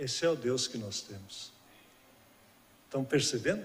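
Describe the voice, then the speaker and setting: With audible room echo around him, a man speaks in a somewhat breathy voice with lively intonation. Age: 60s. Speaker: guest preacher. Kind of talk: sermon. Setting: church.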